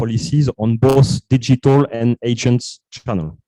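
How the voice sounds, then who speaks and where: A man talks with a French accent at a medium pitch and a fairly slow pace. His dark, mellow tone has fairly even intonation, and the sound is dry and close with no echo. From France. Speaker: startup co-founder. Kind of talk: pitch presentation.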